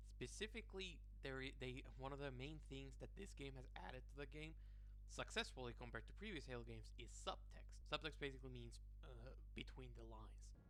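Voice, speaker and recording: A man with a non-native accent speaks at a fairly quick pace in a very deep, low pitch and a bright, sharp tone. His intonation is monotone and flat, and audible room echo surrounds him. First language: not English. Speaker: video essayist, game critic. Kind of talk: video essay commentary.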